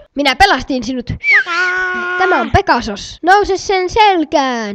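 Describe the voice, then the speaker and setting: A cartoonish character voice is pitched high. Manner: kindly, reassuring.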